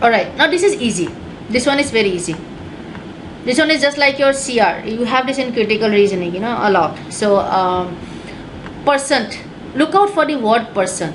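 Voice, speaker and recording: A woman's fairly high voice with very wide pitch swings, long, frequent pauses and audible room echo. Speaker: test prep teacher. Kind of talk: online class lecture. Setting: webinar. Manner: fast; halting, many fillers.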